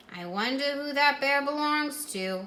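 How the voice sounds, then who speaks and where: A woman puts on a character voice. She speaks at a high pitch. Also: moderate pace, lively intonation. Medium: read story. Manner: gentle, musing.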